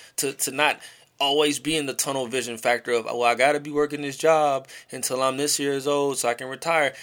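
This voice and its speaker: In a very clean recording with a silent background, a man speaks in an animated tone. His pitch is fairly high and his pace fairly quick. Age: 30s. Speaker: podcast host. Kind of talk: casual chat.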